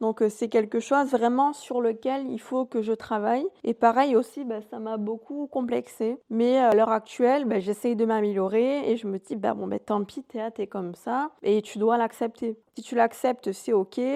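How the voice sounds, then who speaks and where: A woman speaks at a fairly high pitch with a dark, mellow tone and fairly even intonation, hardly pausing at all. The sound is dry and close with no echo, over a quiet background. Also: fairly slow pace. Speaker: podcast host. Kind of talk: solo podcast monologue. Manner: monotone; hesitant, many fillers.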